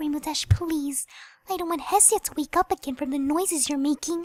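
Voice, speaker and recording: In a put-on character voice, a woman talks squeaky and high at a fairly quick pace. The pitch variation is ordinary, and the sound is dry and close with no echo. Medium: read story. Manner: soft, timid.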